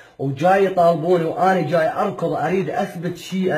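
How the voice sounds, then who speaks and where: At a moderate pace, a man is speaking. His voice is high-pitched. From Iraq, Baghdad. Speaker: father pleading for help. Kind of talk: personal appeal video. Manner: emotional, repetitive pleading.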